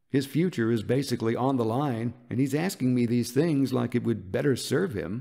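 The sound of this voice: An unforced reading voice delivers the text.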